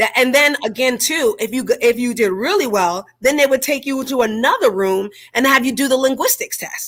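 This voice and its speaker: High-pitched female voice with an American accent, lively intonation and a moderate pace. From New York. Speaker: military veteran. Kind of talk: casual chat.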